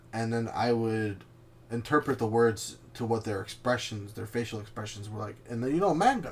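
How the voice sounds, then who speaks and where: Fairly even in intonation, a somewhat breathy voice proceeds at a moderate pace. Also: man, medium pitch for a man. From Canada, Chilean family. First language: Spanish. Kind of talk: casual chat.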